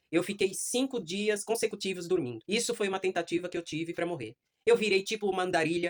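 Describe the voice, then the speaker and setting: An unremarkable speaking voice moves at a fairly quick pace with ordinary pitch variation, in a dry, close sound with no echo. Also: woman. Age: 60s. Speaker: adult education student. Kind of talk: class speech, personal testimony.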